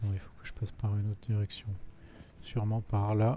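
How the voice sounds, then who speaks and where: A man's somewhat breathy voice at a medium pitch. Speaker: gaming video creator. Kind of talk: let's play commentary. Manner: casual, muttering to himself.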